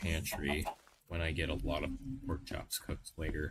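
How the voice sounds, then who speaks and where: Moderate pace with an American accent, against noticeable background noise. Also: man. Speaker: gaming streamer. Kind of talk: casual live-stream commentary while gaming. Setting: home livestream on a laptop. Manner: casual, hesitant, thinking aloud. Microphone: laptop microphone.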